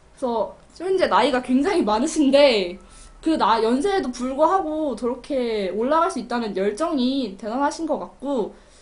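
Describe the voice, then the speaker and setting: A woman's high voice, animated in tone and lively in intonation, with audible room echo. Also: moderate pace. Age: young. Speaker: community TV film review host. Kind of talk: film review monologue.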